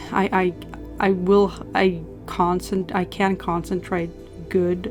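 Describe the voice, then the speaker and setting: Music plays in the background as a woman speaks at a medium pitch. She has a Norwegian accent. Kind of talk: casual voice-over commentary for painting video.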